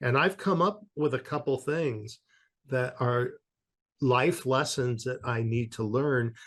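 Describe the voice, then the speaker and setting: Speaking at a very slow pace, a man with a West Coast accent has a somewhat breathy voice of medium pitch and ordinary pitch variation. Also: quiet background. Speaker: author on spirit communication. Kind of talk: interview.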